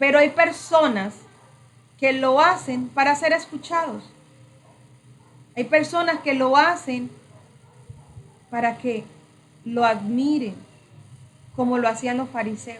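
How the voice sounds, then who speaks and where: Speaking at a high pitch with ordinary pitch variation, a woman goes at a very slow pace with long, frequent pauses. Audible room echo is present. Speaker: preacher / prayer trainer. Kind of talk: sermon-style training.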